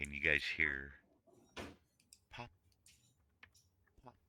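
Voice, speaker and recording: A man's put-on character voice, very deep and low in pitch. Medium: actual play. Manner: taunting, eerie.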